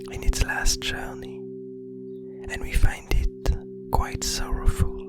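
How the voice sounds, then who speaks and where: Whispering in a calm tone over music in the background. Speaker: illustrator. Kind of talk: ASMR art commentary. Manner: whispered, calm.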